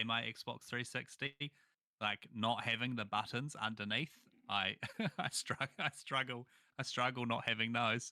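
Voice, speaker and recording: Through a very clean recording with a silent background, a man speaks at a moderate pace with a medium pitch and fairly even intonation. His tone is bright and sharp, and the sound is dry and close, with no echo. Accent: New Zealand. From New Zealand, small town. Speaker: gaming content creator. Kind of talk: casual chat.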